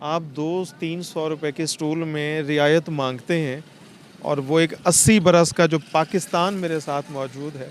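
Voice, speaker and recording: A man talks in a plain, everyday voice at a fairly high pitch. His intonation is fairly even. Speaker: street interviewer and host. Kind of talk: emotional street report to camera.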